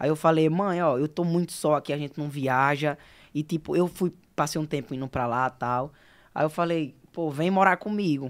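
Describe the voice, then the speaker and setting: Here a man talks at a moderate pace with ordinary pitch variation. The background is quiet. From Alagoas, Brazil (União dos Palmares); Alagoas, Brazil. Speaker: singer; podcast guest. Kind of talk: casual interview. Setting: studio. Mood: relaxed, casual. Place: studio. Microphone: studio mic.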